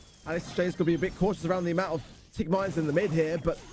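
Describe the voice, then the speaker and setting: Noticeable background noise sits behind a man's voice. He speaks at a high pitch with fairly even intonation. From Britain. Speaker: esports caster. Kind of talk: live commentary.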